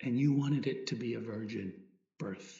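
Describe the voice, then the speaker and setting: A man with vocal fry speaks in a calm, gentle tone with lively intonation. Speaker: priest leading meditation. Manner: slow, calm, reflective, with gentle pauses and a prayerful tone; soft-spoken, intimate, sincere and devotional.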